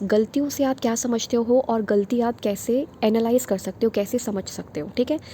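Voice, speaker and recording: A soft-spoken woman talks with a fairly high pitch. Her pitch varies in an ordinary way. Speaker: online teacher for teaching exams. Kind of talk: lecture. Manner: soft-spoken, quiet.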